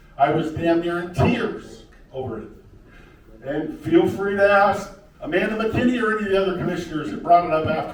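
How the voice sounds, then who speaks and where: Noticeable background noise and audible room echo accompany a man with a high-pitched voice, lively intonation and a fairly quick pace. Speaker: county commissioner candidate. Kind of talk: candidate forum debate. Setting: public meeting with audience.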